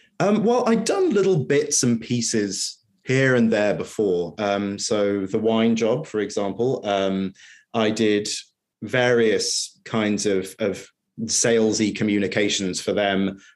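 In a very clean recording with a silent background, a man with an East Anglian accent speaks very slowly at a fairly low pitch with fairly even intonation. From England, Norwich. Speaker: freelance copywriter. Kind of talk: interview. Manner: hesitant, many fillers.

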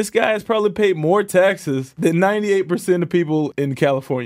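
A man with an American accent and an unremarkable speaking voice, fairly quick, with ordinary pitch variation. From New York. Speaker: professional football player. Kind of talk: interview.

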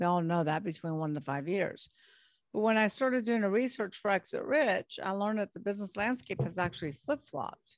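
Woman with an unremarkable speaking voice and an American accent, medium pitch, lively intonation and a fairly quick pace, in dry, close sound with no echo. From California. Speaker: business broker and author. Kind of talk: interview.

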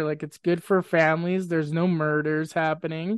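A man with a western Canadian accent talks at a moderate pace. The sound is dry and close with no echo, over a quiet background. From Grande Prairie, northern Alberta, Canada. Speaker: podcast guest. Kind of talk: casual chat.

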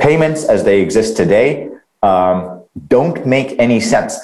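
Against audible room echo, a man speaks slowly, though not very slowly, at a medium pitch with lively intonation. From Middle East. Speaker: crypto company founder. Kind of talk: interview. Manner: frequent fillers (um, uh).

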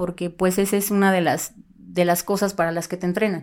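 An ordinary speaking voice from a woman at a moderate pace with fairly even intonation, on a very clean recording with a silent background. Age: 40s. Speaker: former police officer. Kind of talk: interview.

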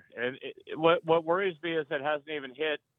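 With an American accent, a man speaks in a normal speaking voice at a fairly quick pace, keeping his intonation fairly even. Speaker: caller. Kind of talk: call-in talk. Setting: phone call.

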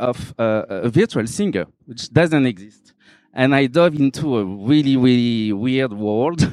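This man has a French accent and a medium pitch with ordinary variation. The recording sounds dry and close, without echo. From Réunion. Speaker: photographer. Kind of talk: talk at exhibition.

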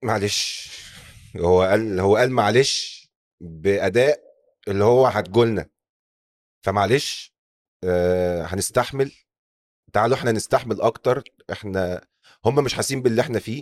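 A man with an Egyptian accent speaks fairly slowly in a fairly low voice. He leaves long, frequent pauses. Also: ordinary pitch variation, very clean recording, silent background. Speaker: podcast host. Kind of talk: scripted narration.

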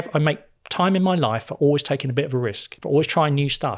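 In a very clean recording with a silent background, a man with a British accent speaks with lively intonation. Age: 50s. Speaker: financial wellbeing speaker and former financial advisor. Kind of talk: casual interview.

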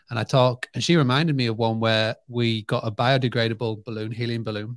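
A man's medium-pitched voice, monotone and flat, at a fairly quick pace, on a very clean recording with a silent background and a dry, close sound without echo. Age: 30s. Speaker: hospitality marketing entrepreneur. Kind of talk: interview.

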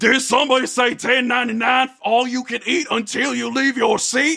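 A man bellows in a put-on character voice at an extremely high pitch. His pace is moderate. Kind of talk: jingle-like restaurant slogan. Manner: bellowing, booming.

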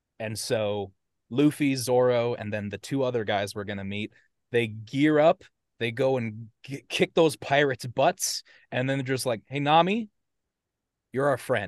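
Against a quiet background, a man with an American accent speaks at a medium pitch in an ordinary speaking voice. His pace is fairly slow and his pitch variation ordinary, in a dry, close sound with no echo. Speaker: podcast co-host presenting a topic. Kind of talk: casual presentation to friends.

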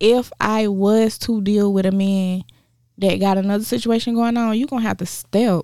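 At a fairly slow pace, a woman talks with a dark, mellow tone at a medium pitch. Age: 30s. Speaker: podcast co-host.

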